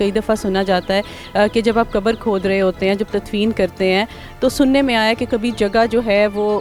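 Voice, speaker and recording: Music plays in the background. The voice holds a very even loudness. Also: woman, fairly high pitch for a woman, fairly even intonation. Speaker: TV news anchor. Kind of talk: interview questions.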